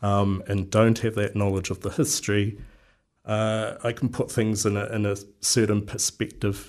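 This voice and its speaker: Speaking in a New Zealand accent, a man with a fairly low pitch uses monotone, flat intonation and long, frequent pauses. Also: moderate pace, quiet background. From New Zealand, Wellington. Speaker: local council candidate. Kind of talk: radio interview. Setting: radio studio. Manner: halting, many fillers.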